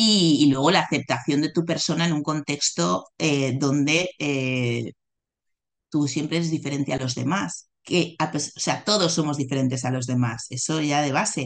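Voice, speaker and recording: Very deep and low, a woman's voice moves at a fairly slow pace with ordinary pitch variation. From Barcelona, Spain. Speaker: executive coach. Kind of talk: interview conversation.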